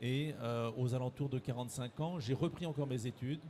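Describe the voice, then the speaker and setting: At a moderate pace, a man speaks in a medium pitch with a dark, mellow tone, somewhat breathy and with fairly even intonation. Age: 60s. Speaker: director of a training organisation. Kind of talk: interview. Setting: careers fair. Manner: halting, many hesitations.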